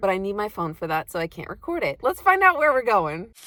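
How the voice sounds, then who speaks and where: Her voice sits at a medium pitch for a woman. Background noise is noticeable throughout. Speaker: vlogger. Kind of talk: casual vlog talk.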